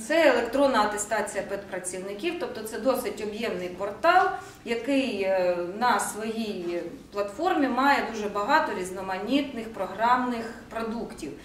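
Lively intonation from a woman with a fairly high pitch, plus audible room echo and light background noise. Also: fairly slow pace. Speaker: education department official. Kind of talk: formal meeting presentation. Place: meeting room. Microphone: camera far.

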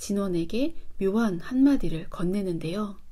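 At a fairly slow pace, a woman talks with a dark, mellow tone that is somewhat breathy. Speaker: book YouTuber. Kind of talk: book review monologue. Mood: calm, engaged.

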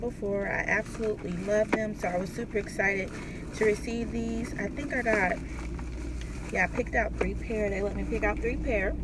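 A woman talks at a fairly quick pace over noticeable background noise. The sound is dry, with no echo. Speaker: vlogger reviewing products. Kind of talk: casual vlog chat. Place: car. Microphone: phone near.

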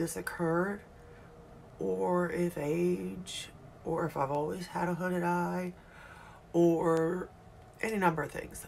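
Over light background noise, a woman talks in a fairly low pitch. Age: 40s. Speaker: beauty YouTuber. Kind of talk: casual makeup tutorial. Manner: animated. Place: home room. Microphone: phone near.

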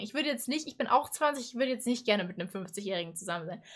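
Lively intonation and an animated tone from a woman against a quiet background. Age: 20s. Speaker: YouTuber reacting to animated stories. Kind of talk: casual reaction commentary. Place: home room. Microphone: headset.

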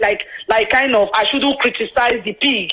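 Ordinary pitch variation comes through amid noticeable background noise. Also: woman. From Nigeria, Anioma. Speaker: radio call-in listener. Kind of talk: phone-in call.

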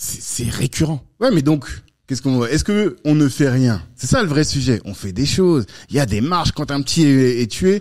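The background is quiet as a man talks at a moderate pace. His intonation is lively. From France, Paris suburbs (cité), born Central African Republic; France. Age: 40s. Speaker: entrepreneur, network co-founder; podcast guest. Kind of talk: casual interview. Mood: relaxed, earnest. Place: studio. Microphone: studio mic.

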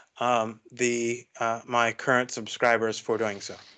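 The man's tone is bright and sharp, and he speaks at a very slow pace. The background is quiet. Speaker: host of group poetry discussion. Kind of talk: casual discussion host talk. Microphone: video call.

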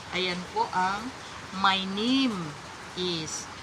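Speaking at a very slow pace with lively intonation, a woman is heard over noticeable background noise and audible room echo. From Philippines. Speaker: overseas domestic worker sharing tips. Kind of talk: tutorial. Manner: halting.

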